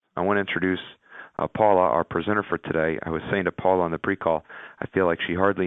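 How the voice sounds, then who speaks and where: A man's fairly even intonation holds through his very fast delivery. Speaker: webinar host. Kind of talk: webinar introduction. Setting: webinar teleconference.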